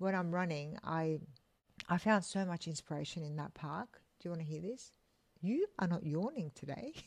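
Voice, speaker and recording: A woman with a normal speaking voice and a fairly low pitch talks at a moderate pace and ordinary pitch variation in a very clean recording with a silent background. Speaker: podcast co-host. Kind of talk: casual chat.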